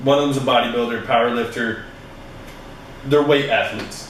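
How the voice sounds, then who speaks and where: Audible room echo with noticeable background noise. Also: man. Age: 20s. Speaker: fitness podcast host. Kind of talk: casual solo podcast monologue. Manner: animated.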